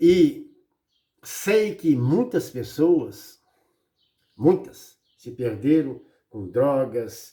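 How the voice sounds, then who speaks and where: A man speaks very slowly, with long, frequent pauses. His loudness swings widely. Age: 60s. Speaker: preacher. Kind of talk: sermon. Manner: animated.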